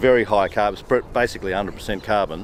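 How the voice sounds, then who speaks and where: A man with a fairly low pitch speaks with an Australian accent against noticeable background noise. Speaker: permaculture farmer. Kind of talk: garden tour explanation.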